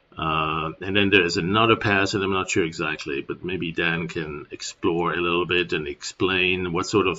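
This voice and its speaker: Speaking with a German accent at a moderate pace, a man has a very deep, low pitch. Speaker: software tutorial presenter. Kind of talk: tutorial. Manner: casual, hesitant with fillers.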